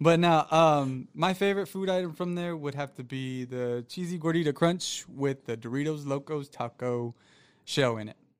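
In a normal speaking voice, a man talks at a moderate pace and fairly high pitch with ordinary pitch variation and big swings in loudness, on a very clean recording with a silent background. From Florida, US South. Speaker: podcast guest, new YouTuber, former boxer. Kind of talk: casual chat.

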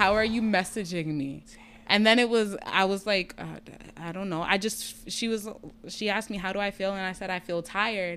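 In a very clean recording with a silent background, a woman with a plain, everyday voice speaks at medium pitch and a moderate pace, her intonation fairly even. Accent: American. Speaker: patient sharing health story. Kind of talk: personal testimony in casual interview.

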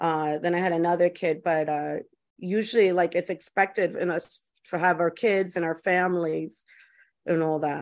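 Against a quiet background, a woman speaks in a normal speaking voice with fairly low pitch and fairly even intonation. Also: moderate pace. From US, Cuban and Puerto Rican family. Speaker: podcast host. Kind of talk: casual interview chat. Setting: podcast recording.

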